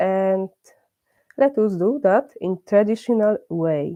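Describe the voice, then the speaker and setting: At a very slow pace, a woman of medium pitch speaks with lively intonation and a dark, mellow tone in a dry, close sound with no echo. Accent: Polish. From Poland. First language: Polish. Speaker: religious class teacher. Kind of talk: religious class. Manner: halting, many hesitations.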